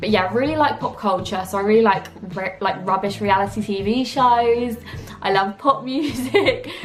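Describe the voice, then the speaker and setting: A woman with an English accent speaks over noticeable background noise, her voice carrying an audible room echo. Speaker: YouTuber. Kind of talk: casual Q&A vlog. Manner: loud; chatty.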